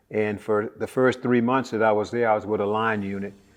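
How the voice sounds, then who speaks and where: Music plays in the background as a man with an American accent speaks in monotone, flat intonation. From Texas (Conroe). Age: 70s. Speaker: war veteran. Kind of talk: interview testimony. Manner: halting with frequent fillers.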